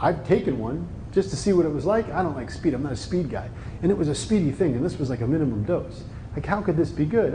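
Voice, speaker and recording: Over noticeable background noise and audible room echo, a man with an American accent talks very fast in a fairly high pitch, animated and with lively intonation. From New Jersey. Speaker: lawyer and cannabis industry speaker. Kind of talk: conference talk. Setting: conference room with audience. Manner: animated, conversational.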